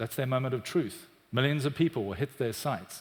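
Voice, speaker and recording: A man with a South African accent talks at a fairly quick pace and medium pitch, with ordinary pitch variation. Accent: South African, often mistaken for British. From South Africa, Cape Town. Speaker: business executive. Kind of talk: conference talk. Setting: stage with audience.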